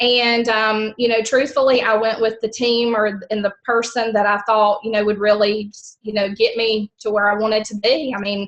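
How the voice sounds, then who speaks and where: Talking at a moderate pace with hardly any pauses, a woman with a strong Southern US accent uses a fairly high pitch and a monotone, flat intonation. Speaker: network marketing team member. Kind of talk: team call testimony. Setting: conference call. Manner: chatty, many fillers.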